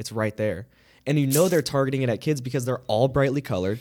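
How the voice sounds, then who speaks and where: A man's unremarkable speaking voice at medium pitch, on a very clean recording with a silent background. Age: 20s. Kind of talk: casual chat. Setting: studio.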